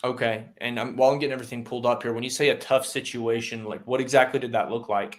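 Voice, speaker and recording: A man speaks at a very fast pace and medium pitch with hardly any pauses. His intonation is monotone and flat. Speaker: insurance sales trainer. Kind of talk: sales call role-play; tutorial. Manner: plain, simple speech in character.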